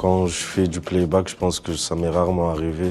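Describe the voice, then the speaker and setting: A man with a very deep, low voice speaks in a monotone, flat intonation. His pace is moderate, with noticeable background noise. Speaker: rapper. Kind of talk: interview answers.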